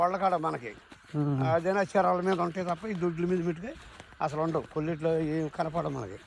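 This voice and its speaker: A man's high-pitched voice with ordinary pitch variation against noticeable background noise. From Kolleru Lake region, Andhra Pradesh, India. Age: 70s. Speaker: local elder, village resident. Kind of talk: interview answer.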